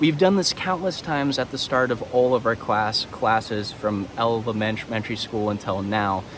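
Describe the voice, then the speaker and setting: Noticeable background noise runs under a man's medium-pitched voice. He speaks with lively intonation and hardly any pauses. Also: moderate pace. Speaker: university instructor. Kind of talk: lecture. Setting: outdoors. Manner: halting.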